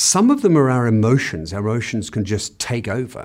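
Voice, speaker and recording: A man talks at a fairly quick pace in an Australian accent. The recording is very clean, with a silent background. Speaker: business consultant and author. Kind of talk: interview excerpts. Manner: hesitant, with fillers and repeats.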